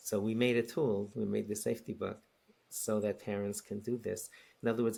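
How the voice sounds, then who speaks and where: With a New York accent, a man speaks at a medium pitch and a fairly quick pace in a monotone, flat intonation. His tone is dark and mellow on a very clean recording with a silent background. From New York City, Queens. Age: 60s. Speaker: rabbi and educator. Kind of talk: podcast interview. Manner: halting, many repetitions.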